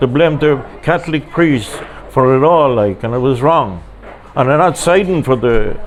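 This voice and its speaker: With lively intonation, a man talks in an Irish accent over noticeable background noise. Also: fairly high pitch for a man, moderate pace. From Ireland. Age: 70s. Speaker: pilgrim sharing testimony. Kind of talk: testimony interview. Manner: halting.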